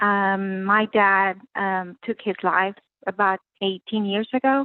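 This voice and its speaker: At a very slow pace, a woman with a medium-pitched voice and a non-native accent speaks with fairly even intonation. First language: not English. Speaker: caller. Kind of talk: personal testimony. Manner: halting.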